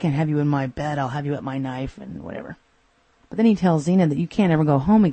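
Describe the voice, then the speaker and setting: Speech moves at a fairly quick pace. The pitch varies in an ordinary way. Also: woman. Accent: American. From Texas. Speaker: podcast host. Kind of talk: solo episode review.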